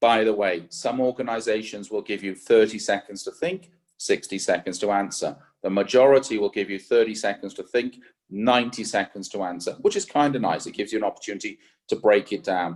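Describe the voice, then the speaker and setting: Here a man talks at a fairly quick pace. His pitch is fairly low with ordinary variation. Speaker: careers coach. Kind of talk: webinar presentation. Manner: fast; fluent, off the cuff.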